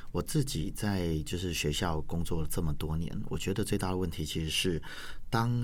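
Through audible room echo, a man talks at a fairly quick pace with ordinary pitch variation. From Taiwan, Yunlin County. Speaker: language teacher and school administrator. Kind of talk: interview.

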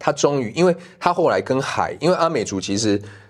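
His pitch rises and falls very widely. The man keeps to a moderate pace. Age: middle-aged. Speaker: documentary director. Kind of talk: casual interview. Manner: halting.

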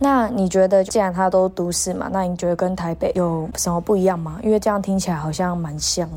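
A woman's fairly quick, medium-pitched speech with fairly even intonation and hardly any pauses, over background music. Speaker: podcast co-host, exchange student. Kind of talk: casual chat.

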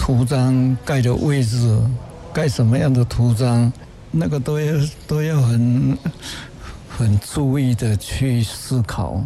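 Amid noticeable background noise, a medium-pitched man speaks very slowly with long, frequent pauses, ordinary pitch variation and very even loudness. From Taiwan, rural Nantou. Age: 80s+. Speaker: painter. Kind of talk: interview. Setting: on site at an art exhibition. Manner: calm, mild-mannered.

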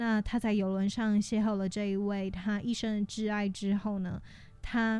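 A woman speaks in a dark, mellow tone. Her intonation stays monotone and flat. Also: medium pitch for a woman. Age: 20s. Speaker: podcast host. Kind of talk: casual solo podcast monologue.

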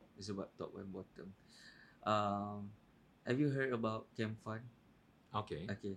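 A man with a fairly low voice, very slow pace, long, frequent pauses, fairly even intonation and big swings in loudness. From Malaysia, Kelantan. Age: 30s. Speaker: podcast guest. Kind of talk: casual chat.

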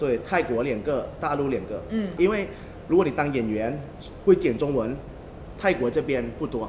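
A man's fairly high voice in a Taiwanese accent, lively in intonation, at a moderate pace with long, frequent pauses. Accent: Taiwanese-accented Mandarin. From Thailand. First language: Thai (speaking Chinese). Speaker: tour guide. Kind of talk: casual chat.

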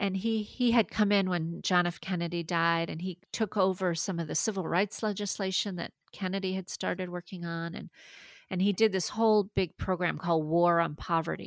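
Speaking at a moderate pace with fairly even intonation, a woman's medium-pitched voice comes through on a very clean recording with a silent background. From Maine, US (French-Canadian family). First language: French. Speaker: university research administrator. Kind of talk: interview.

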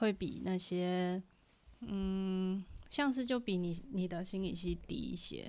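A woman in a Taiwanese accent at a very slow pace. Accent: Taiwanese Mandarin. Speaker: podcast co-host, student abroad. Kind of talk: casual chat.

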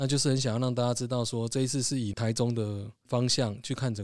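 Speaking very fast at a medium pitch, a man keeps his intonation fairly even in a very clean recording with a silent background. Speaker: podcast host and music label founder. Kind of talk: casual chat.

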